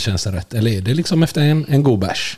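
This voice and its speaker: A man talks at a medium pitch, his voice somewhat breathy. His pitch swings very widely. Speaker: podcast co-host. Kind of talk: casual chat.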